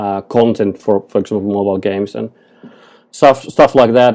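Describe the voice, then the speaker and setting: Dark, mellow male voice with fairly even intonation. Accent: Finnish. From Finland. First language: Finnish. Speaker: photographer and digital artist. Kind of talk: podcast interview. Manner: halting.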